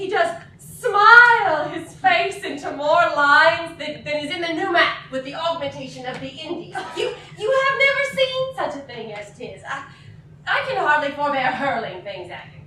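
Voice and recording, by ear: A woman uses a put-on character voice, high-pitched and bright, with a sharp tone and big pitch swings. She speaks at a moderate pace in a room with strong echo.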